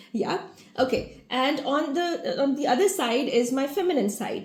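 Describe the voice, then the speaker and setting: A woman speaks with ordinary pitch variation, with audible room echo and noticeable background noise behind her. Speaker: family constellation facilitator. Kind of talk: awareness talk to an online group. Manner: fast.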